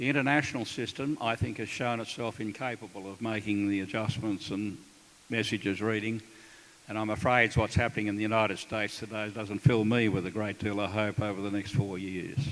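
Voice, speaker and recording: A man speaks with an Australian accent at a fairly low pitch. His intonation stays fairly even. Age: 70s. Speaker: retired military officer. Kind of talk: panel talk at a town hall. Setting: town hall meeting with audience.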